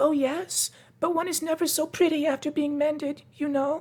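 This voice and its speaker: Put on as a character voice, this high, squeaky delivery keeps a moderate pace with monotone, flat intonation. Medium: read story.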